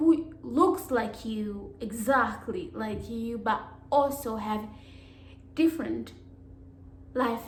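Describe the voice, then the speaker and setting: A woman speaks at a very slow pace with a fairly high pitch and lively intonation, leaving long, frequent pauses. Noticeable background noise and audible room echo fill the recording. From Africa. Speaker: YouTuber. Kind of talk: vlog monologue. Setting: alone at home.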